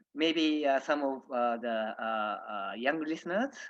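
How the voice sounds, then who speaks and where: Someone speaks at a moderate pace with a Japanese accent. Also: man. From Japan, Nagoya. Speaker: diplomat. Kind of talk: presentation talk. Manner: halting, many fillers.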